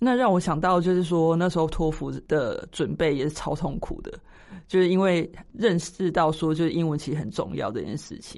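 A woman speaks at a moderate pace with vocal fry. Her pitch sits fairly low. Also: ordinary pitch variation, quiet background. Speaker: podcast co-host. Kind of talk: casual chat.

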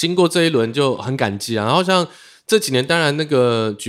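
Over a very clean recording with a silent background, a man with an ordinary speaking voice talks at a moderate pace with lively intonation. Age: 30s. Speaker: illustrator and beatmaker. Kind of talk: casual chat.

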